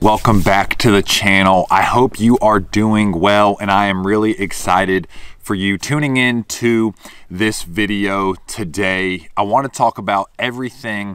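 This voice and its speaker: Against a quiet background, with a dry sound and no echo, a man speaks in an unremarkable speaking voice at a fairly slow pace, his pitch fairly low with ordinary variation. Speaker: fishing content creator. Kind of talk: casual vlog chat. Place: open country.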